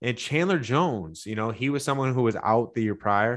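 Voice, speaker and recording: A man at medium pitch in a Michigan accent. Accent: Midwestern American (Michigan). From Michigan (Livonia, Detroit area). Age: 30s. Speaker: sports betting analyst. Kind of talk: sports betting podcast breakdown.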